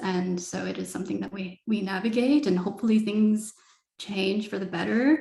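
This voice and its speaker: This woman has an ordinary speaking voice. Her pitch is medium and varies in an ordinary way. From Canada. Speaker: artist. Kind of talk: panel discussion.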